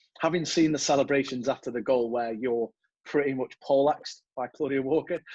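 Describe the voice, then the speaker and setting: Speaking with an English accent at a fairly quick pace, a man uses a medium pitch and fairly even intonation in a dry, close sound with no echo. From England. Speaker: podcast host. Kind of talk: podcast interview.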